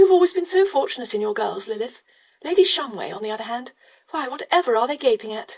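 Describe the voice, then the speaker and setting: In a put-on character voice, a woman rattles along at a very fast pace, her high, raspy voice making very wide pitch swings. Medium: read story.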